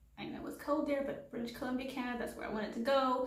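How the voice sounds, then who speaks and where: Noticeable background noise and audible room echo both come through on this clip. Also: woman. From Haiti. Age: 20s. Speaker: vlogger. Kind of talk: casual vlog monologue. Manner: casual with fillers.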